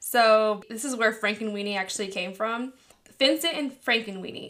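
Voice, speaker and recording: A woman speaks with a Californian accent. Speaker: podcast host. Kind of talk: casual chat.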